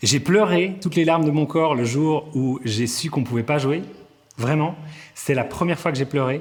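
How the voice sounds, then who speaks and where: Noticeable background noise runs under a man's fairly high-pitched voice. He keeps a moderate pace with ordinary pitch variation. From Vaud, Switzerland. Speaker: comedian. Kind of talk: interview answer. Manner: energetic.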